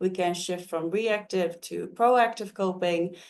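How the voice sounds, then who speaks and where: Speaking with a Dutch accent, a woman keeps a medium pitch, fairly even intonation and a moderate pace. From Netherlands. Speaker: mental health counselor. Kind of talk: webinar presentation. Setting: online webinar.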